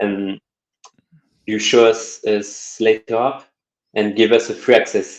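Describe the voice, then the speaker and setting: The speaker is a man with a French accent. He leaves long, frequent pauses. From France. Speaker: web designer and developer. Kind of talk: interview. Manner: halting.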